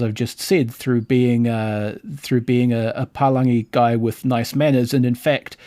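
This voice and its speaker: A man speaks at a fairly slow pace in a New Zealand accent, his tone dark and mellow at a medium pitch. The recording is very clean and dry, with a close sound, no echo and a silent background. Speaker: podcast host. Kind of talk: casual chat.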